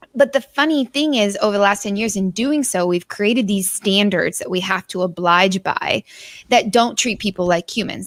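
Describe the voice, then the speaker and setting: In a very clean recording with a silent background and a dry, close sound with no echo, a woman with an unremarkable speaking voice talks at a moderate pace, with medium pitch and ordinary pitch variation. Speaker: business speaker. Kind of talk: casual chat.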